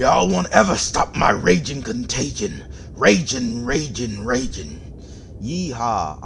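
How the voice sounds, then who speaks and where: A man's raised, projected, put-on character voice at a fairly slow pace over clear background noise. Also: medium pitch for a man. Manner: exaggerated, playful.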